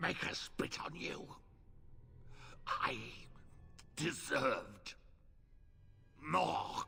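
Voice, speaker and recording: Over clear background noise, a growling, put-on character voice moves at a very slow pace with long, frequent pauses. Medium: video game. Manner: terse, declarative.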